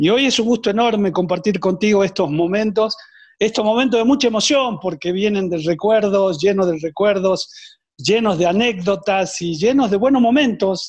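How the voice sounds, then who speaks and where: Over a quiet background, a man with a high-pitched voice speaks at a moderate pace with ordinary pitch variation. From Argentina. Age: 60s. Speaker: former footballer and coach. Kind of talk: interview. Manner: hesitant, frequent fillers and repetitions.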